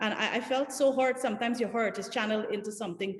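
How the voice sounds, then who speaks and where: Somewhat breathy, the voice goes at a very fast pace with ordinary pitch variation. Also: woman. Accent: Guyanese. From Guyana. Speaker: political candidate. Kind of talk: panel discussion. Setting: video call.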